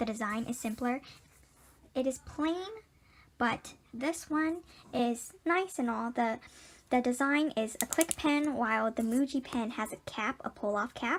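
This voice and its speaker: A woman's high voice at a fairly slow pace, broken by long, frequent pauses. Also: ordinary pitch variation. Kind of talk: product review talk to camera.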